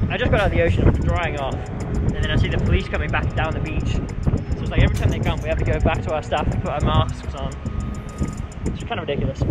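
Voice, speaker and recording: Music runs in the background. Over it, a man speaks at a very fast pace. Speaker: travel vlogger. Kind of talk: casual vlog chat. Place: beach. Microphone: phone near.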